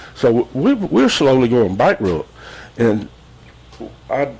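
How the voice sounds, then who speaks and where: A man speaks with a Southern US accent. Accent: Southern US (Georgia). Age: 70s. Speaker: resident speaking at public comment. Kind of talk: public comment at county meeting. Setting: county commission meeting room. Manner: halting.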